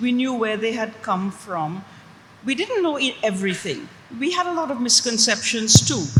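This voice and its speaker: Through noticeable background noise, a woman with a fairly high pitch speaks at a moderate pace, her pitch swinging very widely. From Trinidad. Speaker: author and linguist. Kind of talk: panel discussion.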